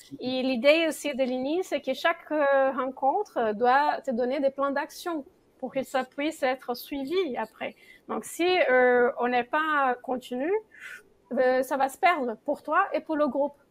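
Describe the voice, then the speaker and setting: In a very clean recording with a silent background, a speaker with a non-native accent talks at a very slow pace with ordinary pitch variation. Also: woman, high pitch for a woman. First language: not French (speaking French). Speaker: association founder and circle leader. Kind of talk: talk-show interview. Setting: studio. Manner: hesitant, many fillers.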